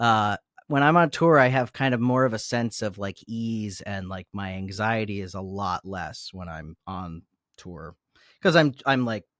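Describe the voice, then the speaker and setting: In a very clean recording with a silent background and a dry, close sound with no echo, a man with an American accent and a plain, everyday voice speaks fairly slowly at a fairly low pitch with lively intonation. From US South. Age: 30s. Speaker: musician. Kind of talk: interview.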